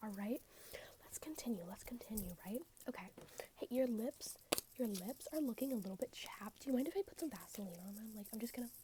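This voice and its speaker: Someone soft-spoken talks at a very fast pace. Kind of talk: ASMR roleplay, fast-talking tour guide. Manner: soft-spoken, fast, repetitive.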